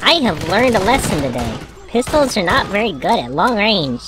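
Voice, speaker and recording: A female-sounding put-on character voice speaks at a moderate pace with very wide pitch swings. Clear background noise and sound effects play behind it. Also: medium pitch for a woman. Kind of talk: gaming commentary. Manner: zany, comedic.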